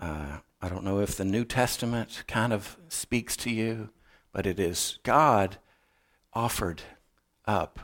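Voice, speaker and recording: On a very clean recording with a silent background, a man with an American accent speaks in a fairly low voice with lively intonation. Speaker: missionary and guest preacher. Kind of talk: sermon. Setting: church. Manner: casual, halting with fillers.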